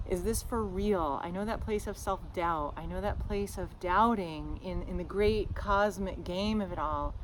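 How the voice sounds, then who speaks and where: Audible room echo surrounds a woman's voice. She talks at a fairly slow pace with hardly any pauses. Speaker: podcast host, shamanic teacher. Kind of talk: casual podcast monologue. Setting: outdoors, front yard. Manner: loud; animated.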